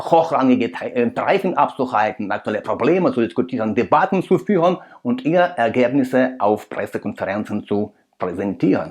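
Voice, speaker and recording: A man with a non-native accent, moderate pace, and very wide pitch swings. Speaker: political commentator, video creator. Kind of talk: commentary analysis addressed to viewers. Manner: halting, with fillers.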